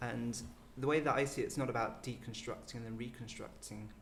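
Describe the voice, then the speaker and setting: In a room with audible echo, a soft-spoken man talks at a fairly quick pace and a medium pitch. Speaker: medical doctor and former programme participant. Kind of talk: panel discussion. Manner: halting, many fillers; quiet and softly spoken.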